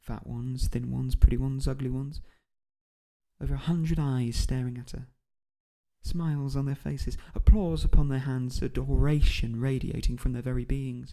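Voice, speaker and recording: A man with a British accent talks at a moderate pace in a medium pitch, with a dark, mellow tone, fairly even intonation and big swings in loudness. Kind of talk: audiobook narration. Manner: soft-spoken.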